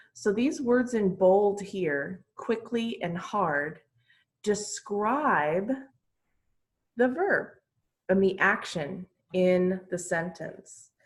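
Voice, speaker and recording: A woman's medium-pitched, somewhat breathy voice at a very slow pace, with lively intonation and long, frequent pauses. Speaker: English teacher. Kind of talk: online class lesson.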